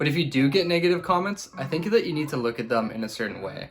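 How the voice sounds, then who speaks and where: Over noticeable background noise, a man talks at a very fast pace, his pitch swinging very widely. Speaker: beginner youtuber and university student. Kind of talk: vlog advice talk to camera. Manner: tries to sound enthusiastic.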